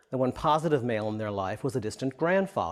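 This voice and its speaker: The pitch leaps and plunges dramatically, with a creaky fry at the ends, at a fairly brisk clip. The recording is spotless against total silence. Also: man. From immigrant from Europe, raised in the US. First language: not English, a European language. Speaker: author speaking about his own life. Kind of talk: interview testimony. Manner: hesitant, with frequent um and uh.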